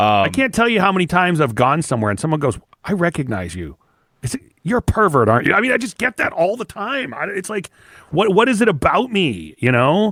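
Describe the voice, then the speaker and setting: A loud man's voice with high pitch, very wide pitch swings and a fairly quick pace. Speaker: podcast co-host. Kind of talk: casual chat.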